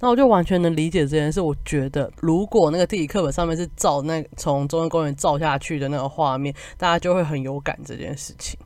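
The delivery is fairly quick, with hardly any pauses. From Taiwan, Kaohsiung. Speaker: podcaster, recent graduate. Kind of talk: solo travel podcast monologue. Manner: casual, chatty.

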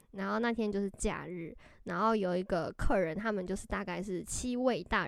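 With a Taiwanese accent, a woman talks at a moderate pace in a medium pitch with fairly even intonation. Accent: Taiwanese Mandarin. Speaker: podcast co-host. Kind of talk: casual chat.

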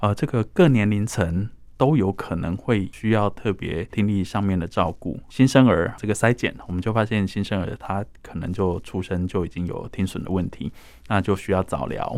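An ordinary speaking voice from a man, fairly low in pitch with ordinary pitch variation, in a very clean recording against a silent background. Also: moderate pace. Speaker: foundation director. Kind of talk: radio interview.

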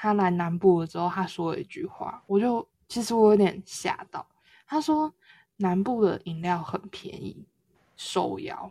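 A woman speaks at a fairly slow pace in a medium pitch, her tone dark, mellow and somewhat breathy. Her intonation is lively, and her loudness swings widely. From southern Taiwan. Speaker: podcast co-host. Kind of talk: casual chat.

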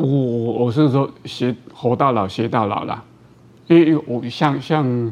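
This voice belongs to a man. The pitch is medium. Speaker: orthopedic surgeon. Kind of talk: interview. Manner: halting, many fillers.

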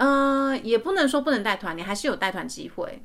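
Talking at a very fast pace, a woman with a Taiwanese accent uses a high pitch and lively intonation. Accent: Taiwanese Mandarin. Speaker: podcast host. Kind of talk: casual chat. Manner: hesitant, many fillers.

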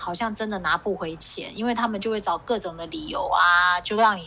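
A woman at a medium pitch with lively intonation and a moderate pace, over noticeable background noise. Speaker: podcast co-host. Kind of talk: casual chat. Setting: video call.

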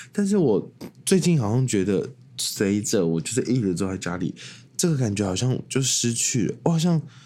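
With a dark, mellow tone, a man at medium pitch talks at a moderate pace, his pitch swinging very widely. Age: 20s. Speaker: podcast host. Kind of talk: casual solo monologue.

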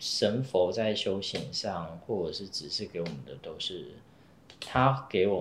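Amid audible room echo, a man with a fairly low pitch speaks fairly slowly, with very wide pitch swings and big swings in loudness. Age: young. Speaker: Taoist priest. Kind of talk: interview storytelling.

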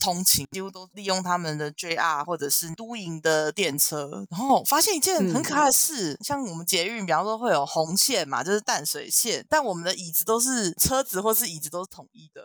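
This woman speaks with a Taiwanese accent, her pitch swinging very widely. Her loudness also shifts in big swings. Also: medium pitch for a woman, moderate pace, hardly any pauses. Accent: Taiwanese Mandarin. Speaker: podcast co-host. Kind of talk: casual chat. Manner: animated.

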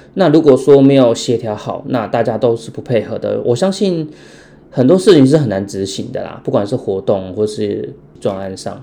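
The speech moves at a moderate pace with lively intonation and big swings in loudness. Noticeable background noise runs underneath. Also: man, medium pitch for a man. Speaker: insurance salesperson. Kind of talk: casual chat.

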